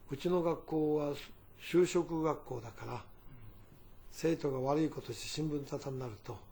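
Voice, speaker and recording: A man's fairly high, somewhat breathy voice with a dark, mellow tone, ordinary pitch variation, a moderate pace and long, frequent pauses. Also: big swings in loudness. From Fukuoka Prefecture, Japan (Nogata). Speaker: company chairman. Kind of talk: interview, personal reminiscence.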